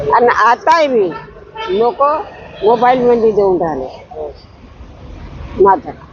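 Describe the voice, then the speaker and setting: Over noticeable background noise, the speaker's pitch swings very widely. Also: woman, fairly high pitch for a woman. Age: 80s+. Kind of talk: interview answer, reminiscing.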